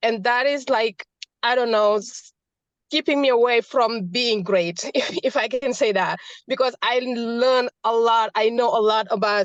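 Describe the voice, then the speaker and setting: A woman's fairly slow speech with an African accent, fairly high in pitch, with ordinary pitch variation. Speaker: audience member asking a question. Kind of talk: question from audience. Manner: halting.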